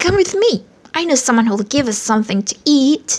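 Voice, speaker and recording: Woman in a put-on character voice, high pitch, moderate pace. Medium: read story.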